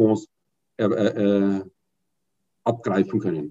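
This man's voice has a dark, mellow tone. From Bavaria, Munich. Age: 50s. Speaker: fund sales and training manager. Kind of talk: casual interview. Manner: hesitant, with frequent fillers.

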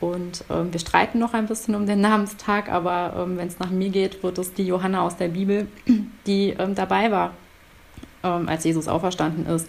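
A woman talks with monotone, flat intonation. Her voice is at a medium pitch. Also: moderate pace. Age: 30s. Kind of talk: casual interview.

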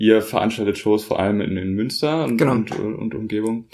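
On a very clean recording with a silent background, a man with an ordinary speaking voice speaks at a fairly low pitch with ordinary variation. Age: 20s. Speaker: podcast host. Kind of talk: casual interview. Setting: at home.

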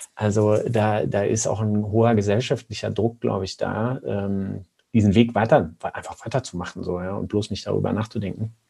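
A man speaks with a dark, mellow tone that is somewhat breathy. His moderate pace has hardly any pauses, and his intonation is fairly even. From Lower Saxony, Germany (Braunschweig). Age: 30s. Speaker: company co-founder, physician. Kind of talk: interview. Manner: halting, many filler sounds.

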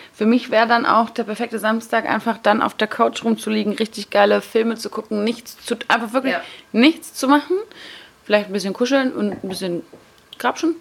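A woman talks at a fairly quick pace with fairly high pitch and ordinary pitch variation. Noticeable background noise is present. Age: 20s. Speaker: podcast guest. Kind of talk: casual chat.

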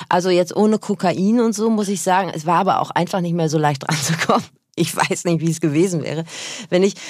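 A woman speaks in a normal speaking voice, fairly low in pitch, moving at a fairly quick pace with ordinary pitch variation. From North Rhine-Westphalia. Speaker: radio presenter and podcaster. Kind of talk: casual chat. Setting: studio.

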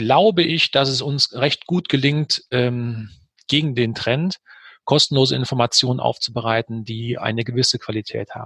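A man speaks at a medium pitch. The sound is dry and close with no echo, over a quiet background. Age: 50s. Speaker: publisher, managing director. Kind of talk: interview. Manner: hesitant with many fillers.

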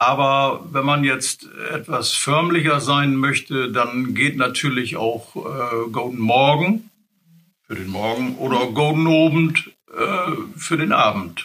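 A man with a northern German accent, fairly high-pitched, at a very slow pace. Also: ordinary pitch variation. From northern Germany, Wursten coast near Bremerhaven. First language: Low German (speaking German). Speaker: retired colleague, Low German speaker. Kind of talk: language lesson, casual chat.

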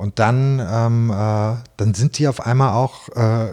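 A man's somewhat breathy voice has medium pitch and a dark, mellow tone. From Hannover, northern Germany. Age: 40s. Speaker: bakery owner. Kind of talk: interview. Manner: hesitant with many fillers.

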